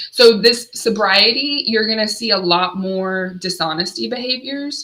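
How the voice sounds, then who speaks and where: This is a plain, everyday voice. It moves at a fairly slow pace with ordinary pitch variation. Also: woman, fairly high pitch for a woman. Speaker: addiction recovery counselor. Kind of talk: solo livestream talk. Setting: livestream.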